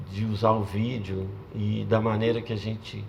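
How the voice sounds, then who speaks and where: Over noticeable background noise and audible room echo, a man speaks fairly low and fairly slowly in a monotone, flat way. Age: 60s. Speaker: video artist. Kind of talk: panel talk. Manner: halting.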